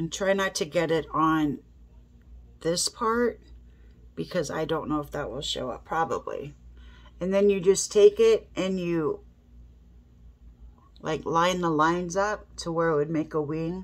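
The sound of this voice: A nasal woman's voice, low in pitch, at a fairly slow pace with long, frequent pauses and ordinary pitch variation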